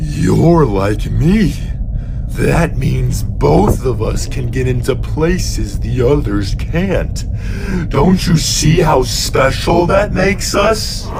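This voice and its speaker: Over loud background noise, a man does a put-on character voice at a very slow pace. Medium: machinima. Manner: folksy, friendly.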